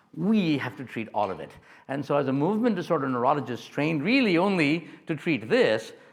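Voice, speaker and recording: A man talks with very wide swings in pitch. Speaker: neurologist. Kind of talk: lecture. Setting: stage with audience. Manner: loud; animated.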